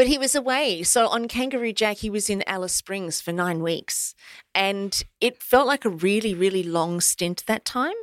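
A woman with an Australian accent and lively intonation at a moderate pace, in a dry, close sound with no echo on a very clean recording with a silent background. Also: medium pitch for a woman. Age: 50s. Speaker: motivational speaker. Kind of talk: interview. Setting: studio.

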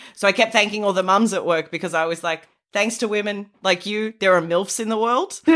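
A woman with an Australian accent, medium pitch, fairly even intonation and a fairly quick pace. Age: 30s. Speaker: podcast co-host. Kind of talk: casual chat.

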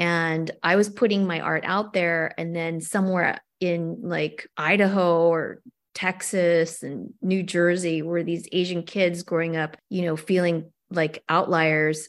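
In a very clean recording with a silent background, a plain, everyday voice with an American accent speaks at a fairly slow pace with fairly even intonation. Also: woman, fairly low pitch for a woman. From US, Korean American. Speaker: actor and cartoonist. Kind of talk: interview.

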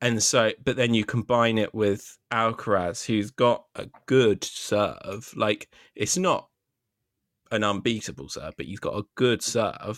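A very slow voice with a British accent and ordinary pitch variation. The sound is dry and close with no echo, in a very clean recording with a silent background. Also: man, medium pitch for a man. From Britain. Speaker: tennis podcast host. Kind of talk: casual chat.

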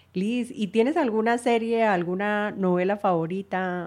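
At a fairly slow pace, a woman with a plain, everyday voice speaks with ordinary pitch variation. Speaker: podcast host. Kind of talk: interview conversation.

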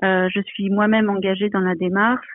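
At a fairly slow pace, a woman speaks at a medium pitch. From Provence, southern France. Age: 40s. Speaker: aeronautical engineer. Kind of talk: interview. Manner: hesitant, many fillers.

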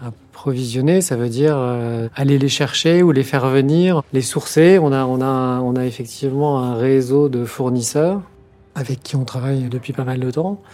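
A man's medium-pitched voice at a fairly slow pace, with fairly even intonation and noticeable background noise. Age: 50s. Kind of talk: interview. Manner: halting.

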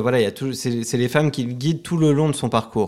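A man talks at a fairly quick pace with ordinary pitch variation, recorded very cleanly against a silent background. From Paris, France. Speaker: writer. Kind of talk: interview. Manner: hesitant.

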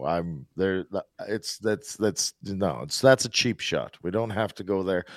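A man's fairly low voice, an ordinary speaking voice, with lively intonation and a dry, close sound with no echo. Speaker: hockey pundit. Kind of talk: casual chat. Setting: studio.

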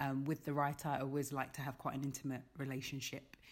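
A woman speaks at a fairly quick pace in a London accent, her pitch very deep and low. The recording is very clean, with a silent background. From London, England. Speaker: theatre director. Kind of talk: casual interview.

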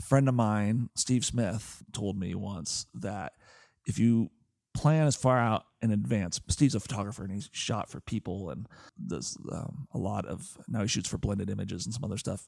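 A man with an American accent speaks at a moderate pace in a fairly low voice with vocal fry. The recording is very clean, the background silent. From US Pacific Northwest (Portland, Oregon). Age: 40s. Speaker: software entrepreneur and travel hacker. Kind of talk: interview. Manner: casual, with many fillers.

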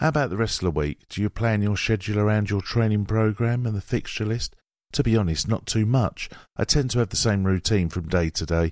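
With an ordinary speaking voice at a fairly low pitch, a man talks at a fairly quick pace on a very clean recording with a silent background. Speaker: audio programme reader. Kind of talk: reading aloud.

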